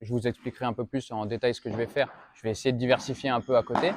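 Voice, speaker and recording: The recording is dry and close with no echo, as a man at medium pitch speaks at a very fast pace. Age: 20s. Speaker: professional padel player and vlogger. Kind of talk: casual channel introduction to camera. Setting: padel club. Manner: casual, hesitant with many fillers.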